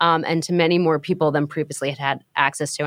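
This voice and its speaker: A woman with an American accent, fairly low-pitched, in an ordinary speaking voice at a fairly quick pace, on a very clean recording with a silent background and a dry, close sound with no echo. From New York. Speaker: marketing executive. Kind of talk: interview.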